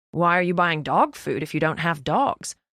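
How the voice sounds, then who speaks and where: A put-on character voice sits at a middle pitch. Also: moderate pace. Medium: read story. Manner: confident, offbeat.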